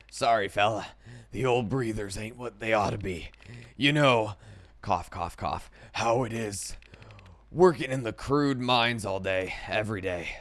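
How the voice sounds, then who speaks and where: Putting on a character voice, a man with a medium pitch talks at a moderate pace with long, frequent pauses. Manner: coughing.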